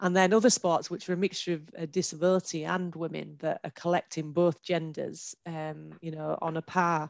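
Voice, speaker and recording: A woman's monotone, flat delivery in a Hull accent, at a moderate pace with hardly any pauses, against a quiet background. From northern England, Hull. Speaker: heritage consultant in women's sport. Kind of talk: panel discussion. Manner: hesitant, many fillers.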